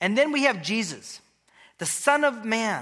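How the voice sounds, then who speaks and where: Raised and projected, a man's extremely high, bright, sharp voice swings very widely in pitch at a moderate pace. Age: 50s. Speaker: pastor and church elder. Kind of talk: sermon.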